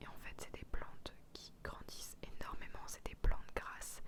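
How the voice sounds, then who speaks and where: A woman is whispering. She speaks at a moderate pace. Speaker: ASMR creator. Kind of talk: ASMR haul talk to camera. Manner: whispered.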